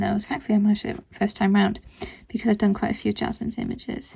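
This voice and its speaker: A woman speaks very fast in a dark, mellow tone with vocal fry. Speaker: art tutorial creator. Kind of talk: tutorial. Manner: distracted, concentrating while speaking.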